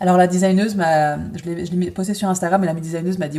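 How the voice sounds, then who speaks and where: The pace is very fast. Noticeable background noise sits behind the voice. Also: woman. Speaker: cross-stitch video host. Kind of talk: casual chat. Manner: hesitant, many fillers.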